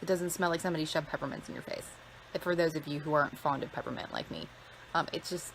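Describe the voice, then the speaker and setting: Fairly even intonation and a very fast pace from a woman with an American accent and a fairly low pitch, with noticeable background noise. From Maine (Lebanon), US Northeast. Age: 30s. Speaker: skincare product reviewer. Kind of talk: live-streamed unboxing with viewer chat. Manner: casual, chatty, many fillers.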